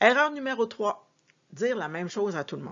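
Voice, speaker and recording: Lively intonation from a woman. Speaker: sales and customer service coach. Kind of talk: tutorial.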